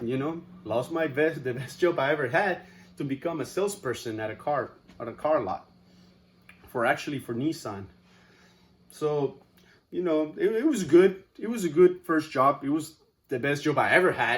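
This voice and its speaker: A man in a Spanish accent talks at a moderate pace. He leaves long, frequent pauses. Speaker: student. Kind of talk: class speech.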